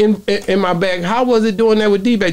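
At a fairly quick pace, a man talks with a high pitch and ordinary pitch variation.

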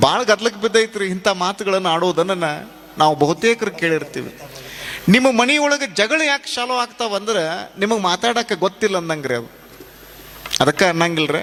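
Over noticeable background noise, a man with a high pitch uses lively intonation. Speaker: religious speaker, swami of a monastery. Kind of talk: spiritual discourse with storytelling. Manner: animated.

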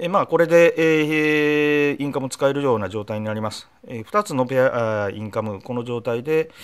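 A man at a moderate pace with ordinary pitch variation and a quiet background. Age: 50s. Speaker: motorcycle blogger demonstrating gear. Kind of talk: product tutorial; tutorial. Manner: frequent filler hesitations; polite formal. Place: home room. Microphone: phone near.

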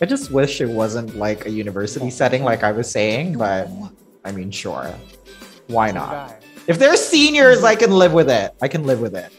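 A man talks at a moderate pace. Faint music lingers behind his voice. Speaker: reaction video host. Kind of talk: reaction commentary. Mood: delighted, smiling. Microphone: headset.

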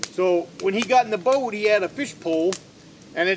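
With noticeable background noise, a man talks in a high pitch for a man, with lively intonation and a relaxed tone. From northern Maine. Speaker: off-grid woodsman and video host. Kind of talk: casual how-to talk, then folksy anecdote storytelling. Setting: outdoors at a log cabin, filmed on location. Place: forest.

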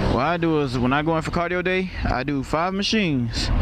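A man speaks with ordinary pitch variation. There is noticeable background noise. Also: dry sound with no echo. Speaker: motorcycle vlogger. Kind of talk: casual vlog chat. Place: motorbike. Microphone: helmet.

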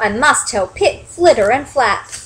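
A woman puts on a squeaky character voice with a fairly bright tone, a slightly husky edge, a fairly high pitch, lively intonation and a fairly slow pace.

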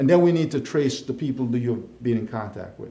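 Speaking with an American accent, a man uses a dark, mellow, somewhat breathy tone at a fairly quick pace with ordinary pitch variation and audible room echo. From Jamaica (Hanover, western parishes); Jamaica. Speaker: county mayor; guest. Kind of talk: casual interview. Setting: live online show. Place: studio.

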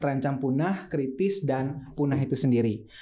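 A man speaks in a dark, mellow tone at a moderate pace. His pitch varies in an ordinary way. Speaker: podcast host. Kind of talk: talk show interview. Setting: studio. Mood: friendly, relaxed. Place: studio. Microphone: studio mic.

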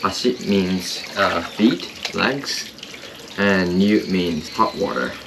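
Noticeable background noise accompanies a man whose voice is fairly low in pitch. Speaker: vlogger. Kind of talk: casual vlog chat. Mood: relaxed. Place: waterside. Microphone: camera far.

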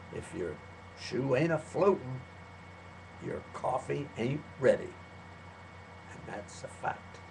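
Over noticeable background noise, a man talks very slowly with long, frequent pauses, lively intonation, big swings in loudness and a medium pitch. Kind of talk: poetry reading.

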